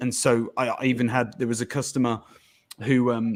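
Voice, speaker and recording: A medium-pitched man with a Birmingham accent at a fairly quick pace. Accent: Birmingham English (Brummie). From England, Birmingham. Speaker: podcast guest. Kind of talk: casual chat.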